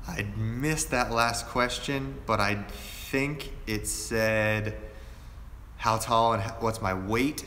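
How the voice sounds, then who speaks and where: Through noticeable background noise and audible room echo, a man with an American accent speaks at a very slow pace. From Pennsylvania, Erie. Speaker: fashion youtuber. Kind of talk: live stream q&a. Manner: casual, relaxed.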